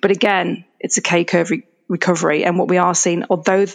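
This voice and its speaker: In a Yorkshire accent, a woman talks at a medium pitch and a fairly quick pace. The sound is dry and close, with no echo. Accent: northern English (Yorkshire). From Yorkshire, England. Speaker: data analytics executive. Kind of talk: interview.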